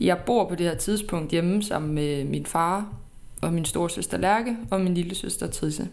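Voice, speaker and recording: A woman's fairly slow speech at a fairly low pitch with ordinary pitch variation, in audible room echo. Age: 20s. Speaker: podcast host. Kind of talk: personal storytelling.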